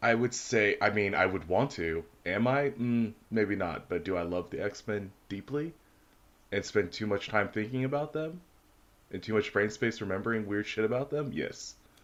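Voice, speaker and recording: A man's mumbling voice, fairly low in pitch, at a moderate pace against a quiet background. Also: ordinary pitch variation. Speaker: podcast co-host. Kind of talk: casual chat.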